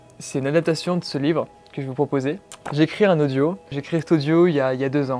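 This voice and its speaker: Over music in the background, a man talks very fast in a fairly high voice with fairly even intonation. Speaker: music composer. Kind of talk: casual talk to camera.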